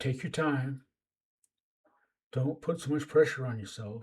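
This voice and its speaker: Pausing long and often, a man speaks at a fairly slow pace in a somewhat breathy voice. His pitch varies in an ordinary way. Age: 60s. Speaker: writer and YouTuber giving life advice. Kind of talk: advice monologue to camera. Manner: halting, repeats words; casual, conversational.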